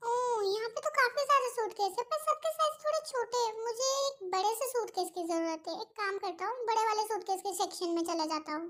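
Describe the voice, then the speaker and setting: Using a put-on character voice, a woman speaks at a fairly quick pace in an extremely high pitch. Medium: fan dub.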